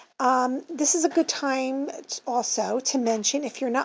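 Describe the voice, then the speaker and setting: Her voice high and her intonation fairly even, a woman speaks at a fairly slow pace over noticeable background noise. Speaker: craft tutorial maker and bead supplier. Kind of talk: tutorial. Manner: casual, halting with fillers.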